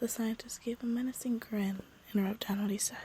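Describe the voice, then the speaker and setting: A woman whispers at a fairly slow pace, her voice somewhat breathy. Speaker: podcast story narrator. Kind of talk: reading a creepy story aloud; casual intro. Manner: whispering; soft-spoken.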